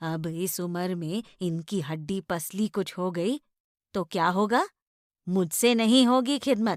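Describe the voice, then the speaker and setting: Using a put-on, rumbling character voice, a woman speaks at a medium pitch and a fairly slow pace with ordinary pitch variation, in a very clean recording with a silent background and a dry, close sound free of echo. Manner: grumbling, scolding.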